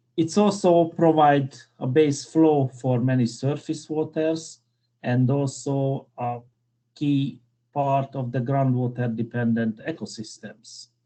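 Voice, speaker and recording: In a Hungarian accent, a man speaks very slowly at a fairly high pitch with ordinary variation. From Hungary. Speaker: civil engineer, keynote speaker. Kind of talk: conference keynote lecture.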